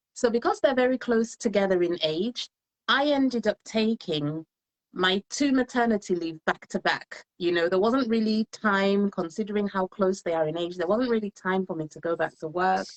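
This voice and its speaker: A slight English accent at a moderate pace. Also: woman, medium pitch for a woman, ordinary pitch variation. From England. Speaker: solicitor and home business entrepreneur. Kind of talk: live interview, personal story. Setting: Facebook live stream.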